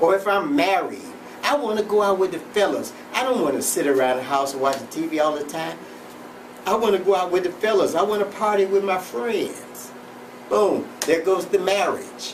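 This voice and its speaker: Lively intonation and a moderate pace come through noticeable background noise and audible room echo. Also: man, high pitch for a man. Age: 70s. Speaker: self-help show host. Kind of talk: motivational monologue. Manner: halting, repetitive.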